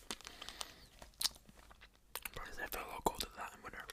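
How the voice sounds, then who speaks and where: Someone whispers over noticeable background noise. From Scotland. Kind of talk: ASMR video, casual talk to camera.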